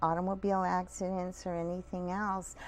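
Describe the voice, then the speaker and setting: A woman at a medium pitch. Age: 60s. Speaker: smoking cessation counselor and hypnotist. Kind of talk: TV interview.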